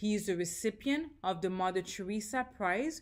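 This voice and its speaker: On a very clean recording with a silent background, a woman with a slight French accent speaks in an energetic tone at a fairly slow pace, using medium pitch and ordinary pitch variation. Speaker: leadership trainer. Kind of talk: leadership training talk.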